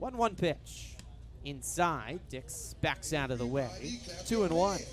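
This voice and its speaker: Music plays in the background. A man with an American accent speaks at a very slow pace. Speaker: baseball play-by-play broadcaster. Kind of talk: baseball radio play-by-play.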